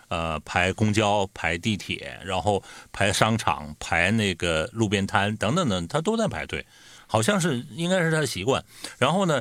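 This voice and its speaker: A man speaks with very wide pitch swings on a very clean recording with a silent background. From Northeast China. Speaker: podcast host. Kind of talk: casual chat.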